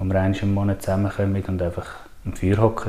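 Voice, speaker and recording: Fairly quick male speech under noticeable background noise. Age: 30s. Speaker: nature and wilderness trainer. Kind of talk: casual interview.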